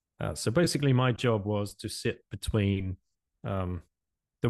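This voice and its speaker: With an English accent and ordinary pitch variation, a man speaks against a quiet background in a dry, close sound with no echo. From England. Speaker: podcast host and former currency trader. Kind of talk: interview.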